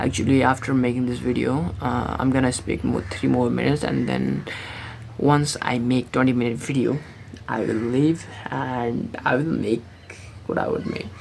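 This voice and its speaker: A woman with a very deep, low pitch speaks at a moderate pace with ordinary pitch variation, and noticeable background noise can be heard. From Nepal, born in India. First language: Nepali. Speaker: vlogger. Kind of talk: casual vlog monologue. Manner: halting, many fillers and restarts.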